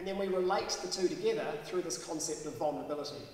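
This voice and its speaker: A high-pitched man with fairly even intonation, amid audible room echo and light background noise. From New Zealand. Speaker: professor. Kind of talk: public science talk. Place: hall. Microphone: podium.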